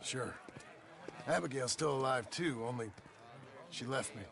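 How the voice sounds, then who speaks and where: A man puts on a raspy character voice at a medium pitch, with ordinary pitch variation and a moderate pace. Background noise is clearly audible. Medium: video game. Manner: dry, laconic.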